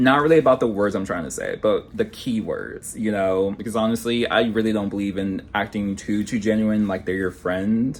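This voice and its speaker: This man has a plain, everyday voice at a medium pitch. He speaks at a moderate pace. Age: 30s. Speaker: vlogger. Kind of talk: casual vlog talk. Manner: casual, filler-heavy.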